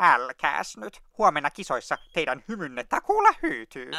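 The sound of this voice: Fairly high-pitched man in a cartoonish character voice, lively in intonation, with a dry, close sound and no echo.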